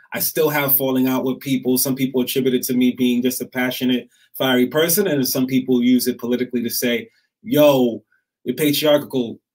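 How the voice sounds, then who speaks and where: Someone talks at a fairly quick pace with a quiet background. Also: man. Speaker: guest speaker on men and patriarchy; guest. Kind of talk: casual discussion. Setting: live stream. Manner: animated. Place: home room.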